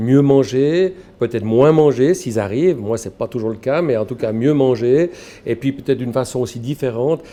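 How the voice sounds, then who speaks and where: Man's medium-pitched voice with a dark, mellow tone and ordinary pitch variation. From Switzerland, Valais. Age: 60s. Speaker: shop owner, former headhunter. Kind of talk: interview. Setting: in his grocery shop.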